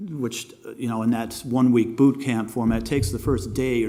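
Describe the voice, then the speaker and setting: Audible room echo colors this man's dark, mellow voice. He talks at a moderate pace and medium pitch with fairly even intonation. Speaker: animation teacher and filmmaker. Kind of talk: lecture. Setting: masterclass with live audience. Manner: halting, many fillers.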